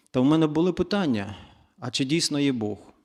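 Recorded very cleanly against a silent background, a man with a normal speaking voice talks at a fairly high pitch. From eastern Ukraine, Zaporizhzhia. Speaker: church guest speaker. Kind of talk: testimony.

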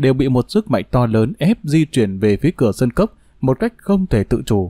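The voice has a dark, mellow tone at a moderate pace, with a dry sound, no echo and a quiet background. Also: man. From Vietnam. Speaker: audiobook narrator. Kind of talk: reading aloud. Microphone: studio mic.

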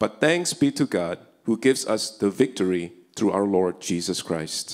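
Over a quiet background, a man talks fairly slowly in a very deep, low pitch with ordinary pitch variation. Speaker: scripture reader at service. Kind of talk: scripture reading. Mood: solemn, earnest. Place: church. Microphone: handheld.

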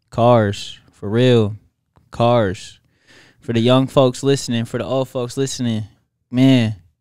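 Against a quiet background with a dry, echo-free sound, a man speaks very slowly in a monotone, flat voice with long, frequent pauses. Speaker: podcast co-host. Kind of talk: casual chat. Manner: playful. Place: studio. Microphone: studio mic.

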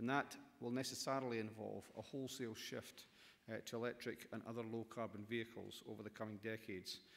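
A man with a Scottish accent talks at a very fast pace and a medium pitch. His intonation stays monotone and flat. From Scotland. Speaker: government minister. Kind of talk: conference speech. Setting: stage with audience. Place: hall. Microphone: podium.

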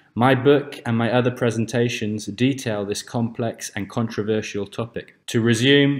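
Recorded very cleanly against a silent background, a man with an ordinary speaking voice talks at a moderate pace, medium in pitch, with ordinary pitch variation. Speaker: narrator. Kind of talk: documentary presentation narration.

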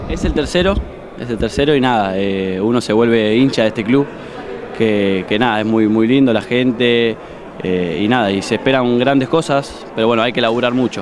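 Noticeable background noise sits under a man speaking at a moderate pace with ordinary pitch variation. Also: dry sound with no echo. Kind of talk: interview answer. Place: hall. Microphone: handheld.

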